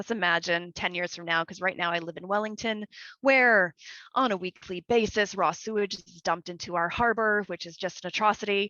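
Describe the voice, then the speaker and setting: An ordinary speaking voice with a Canadian accent, moderate pace and ordinary pitch variation. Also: woman. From Canada. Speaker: community manager, regenerative agriculture. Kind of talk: conference Q&A answer. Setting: video call.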